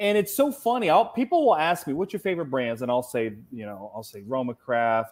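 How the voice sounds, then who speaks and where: A man with a normal speaking voice, fairly high in pitch, talks at a fairly quick pace. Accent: American. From Cincinnati, Ohio. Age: 40s. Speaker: cigar industry representative. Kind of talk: casual chat.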